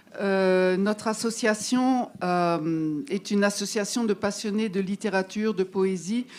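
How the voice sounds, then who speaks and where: A woman speaks very slowly in an Alsatian accent, at a medium pitch, with fairly even intonation and hardly any pauses. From Alsace, France. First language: Alsatian (speaking French). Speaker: literary association member. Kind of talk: public speech to audience. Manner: hesitant, many fillers.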